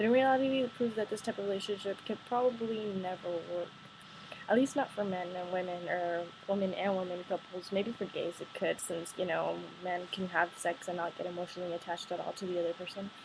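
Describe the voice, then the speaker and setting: Fairly quick speech from a woman at medium pitch, with noticeable background noise. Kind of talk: casual talk to camera, partly read from notes. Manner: a bit monotone.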